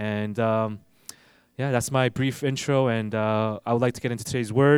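A man's ordinary speaking voice at a moderate pace and medium pitch, with a dry, close sound with no echo and a very clean recording, silent background. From US East Coast (New Jersey), also raised in Ivory Coast. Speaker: pastor. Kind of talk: sermon.

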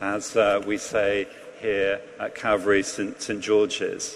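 A man speaks with a southern English accent. There is noticeable background noise behind him. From England. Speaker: priest. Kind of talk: sermon. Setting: church.

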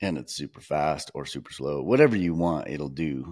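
Speaking at a moderate pace, a man with a very deep, low pitch and vocal fry shows ordinary pitch variation. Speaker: wildlife photographer and podcast host. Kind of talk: casual chat. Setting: video call.

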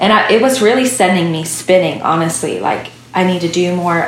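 A moderate pace and ordinary pitch variation over noticeable background noise. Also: woman. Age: 30s. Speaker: worship songwriter and singer. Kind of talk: interview. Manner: halting.

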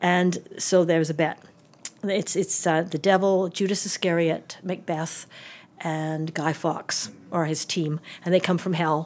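A woman speaks at a fairly low pitch and a moderate pace. Her intonation is monotone and flat. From Calgary, Alberta, Canada. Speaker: theatre and film designer, university professor. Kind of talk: casual interview chat. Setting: office interview.

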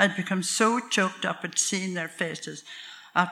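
The intonation is fairly even. It belongs to a natural reading voice.

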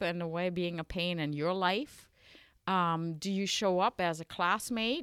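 In a German accent, a woman speaks at a medium pitch on a very clean recording with a silent background. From western Germany. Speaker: Lutheran bishop. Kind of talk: casual interview about church traditions.

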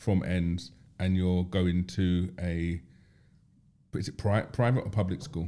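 A man with a London accent speaks in a very deep, low voice with a dark, mellow tone. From South London, Tulse Hill. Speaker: podcast host. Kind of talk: casual chat.

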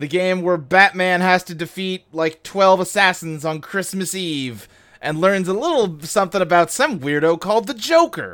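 At a moderate pace with hardly any pauses, the speaker uses an animated tone on a very clean recording with a silent background. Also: man, high pitch for a man, ordinary pitch variation. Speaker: podcast host. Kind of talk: casual comedic banter, reading game descriptions. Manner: joking, self-deprecating, animated.

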